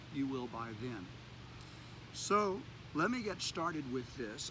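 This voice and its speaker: The speech moves at a moderate pace in a bright, sharp tone. Room echo is audible. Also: man. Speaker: yoga teacher. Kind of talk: yoga class instruction. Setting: outdoors in mountains. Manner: clear enunciation; calm, soothing.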